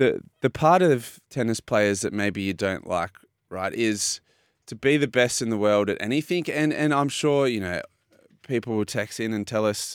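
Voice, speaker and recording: In a very clean recording with a silent background, a man with an Australian accent talks at a moderate pace in a fairly low pitch with lively intonation. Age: 30s. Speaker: sports radio host, retired swimmer. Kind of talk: casual chat.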